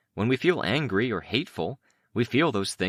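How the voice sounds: A natural reading voice carries lively intonation. The background is quiet.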